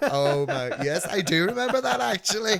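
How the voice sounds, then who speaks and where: Speaking at a moderate pace, the man has a Northern Irish accent. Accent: Northern Irish (Belfast). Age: 50s. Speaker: podcast host. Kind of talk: casual chat. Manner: animated.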